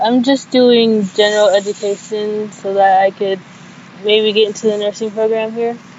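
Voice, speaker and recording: A woman's fairly high voice in monotone, flat intonation at a moderate pace, over noticeable background noise. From Sudan, moved to US at six. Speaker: community college student. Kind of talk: personal testimony. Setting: outdoors on campus, call.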